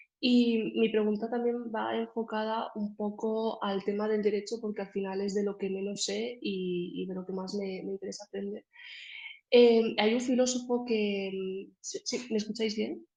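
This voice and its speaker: A woman with a fairly high pitch speaks at a fairly slow pace with fairly even intonation. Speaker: audience member asking a question. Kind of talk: Q&A question in online talk. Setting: video call. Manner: hesitant, many fillers.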